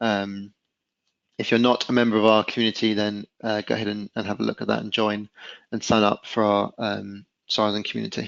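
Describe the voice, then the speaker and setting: At a fairly quick pace, a man talks in a fairly low, flat monotone. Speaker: webinar presenter. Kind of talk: webinar presentation. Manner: fast.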